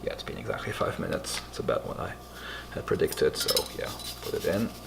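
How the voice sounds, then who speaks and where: Whispering at a very fast pace over noticeable background noise. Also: man. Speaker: home cooking video host. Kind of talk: cooking tutorial. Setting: at home, bedroom then kitchen at night. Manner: whispering in the kitchen; casual, hesitant with fillers.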